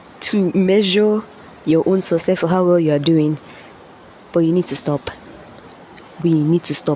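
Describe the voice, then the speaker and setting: A woman's fairly low-pitched voice at a moderate pace, with fairly even intonation, long, frequent pauses and noticeable background noise. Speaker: vlogger. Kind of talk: motivational talk. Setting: classroom. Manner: casual.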